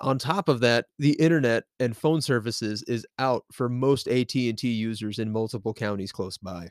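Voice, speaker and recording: A man with a normal speaking voice talks at a moderate pace, at medium pitch with ordinary pitch variation. The recording is very clean, the background silent. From US South, Nashville, Tennessee. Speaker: podcast host. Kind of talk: casual chat; true crime narration.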